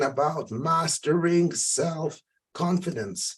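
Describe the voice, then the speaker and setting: Speaking in a passionate tone, a man uses a high pitch and ordinary pitch variation. He talks at a very slow pace. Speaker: life coach. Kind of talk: motivational talk.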